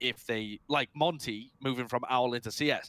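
Recorded very clean against a silent background, a man speaks at medium pitch in a bright, sharp tone, the sound dry and close with no echo. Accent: British. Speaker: esports personality and podcast co-host. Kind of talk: casual chat. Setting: at home on headset and mixer.

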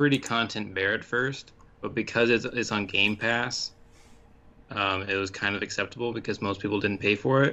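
Fairly low in pitch, a man with a plain, everyday voice speaks at a moderate pace with fairly even intonation. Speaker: podcast co-host. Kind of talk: casual chat.

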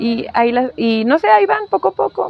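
With noticeable background noise behind her, a woman speaks at a fairly high pitch with ordinary pitch variation. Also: dry, close sound with no echo. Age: 30s. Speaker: plant enthusiast and content creator. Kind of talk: casual interview.

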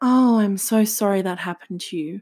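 On a very clean recording with a silent background, a woman at a medium pitch speaks at a moderate pace with ordinary pitch variation, in an ordinary speaking voice. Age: 30s. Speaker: podcast host. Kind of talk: solo monologue podcast. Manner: casual.

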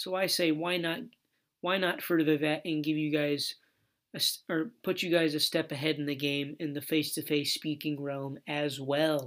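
A man with an American accent speaks at a moderate pace, his pitch fairly high and his intonation fairly even. It's an ordinary speaking voice, captured in a very clean recording with a silent background. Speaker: podcast host. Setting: studio. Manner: filler-heavy, self-correcting.

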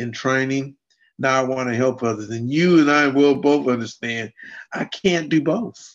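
This man has an ordinary speaking voice, a fairly high pitch and ordinary pitch variation, talking at a moderate pace over a quiet background. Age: 50s. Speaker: adaptive fitness and martial arts coach. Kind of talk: interview.

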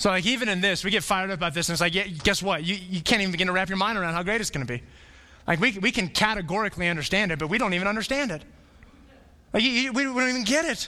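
A man with an American accent, high-pitched and projected, bright and sharp in tone, animated, with lively intonation at a very fast pace. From Arizona (Flagstaff). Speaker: pastor. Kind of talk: sermon.

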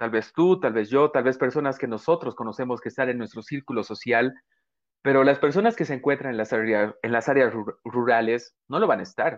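A man speaks in a normal speaking voice at a medium pitch. His pace is fairly quick and his pitch varies in an ordinary way. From Bolivia. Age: 20s. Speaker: podcast host. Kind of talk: interview conversation.

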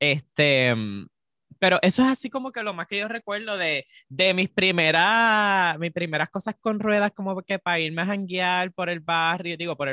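A man speaks in a Puerto Rican accent at a high pitch and a moderate pace. His tone is bright and sharp, the sound dry and close with no echo. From Puerto Rico. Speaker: podcast co-host. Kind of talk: casual chat. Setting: remote recording.

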